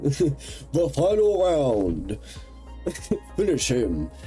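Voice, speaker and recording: A booming, put-on character voice delivers lines in a dramatic tone. Clear music plays in the background. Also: man. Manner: dramatic, announcing.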